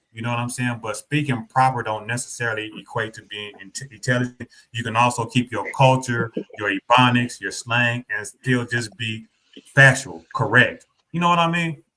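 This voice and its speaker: The voice has a Southern US accent and a bright, sharp tone. Its intonation is fairly even, with big swings in loudness. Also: man, medium pitch for a man, moderate pace. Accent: Southern twang. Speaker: streamer and debater. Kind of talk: casual chat.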